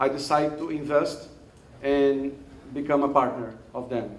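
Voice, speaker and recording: Audible room echo surrounds a man with a Brazilian Portuguese accent speaking at a moderate pace. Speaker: investor and startup mentor. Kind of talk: event speech introducing a startup. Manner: halting, many fillers.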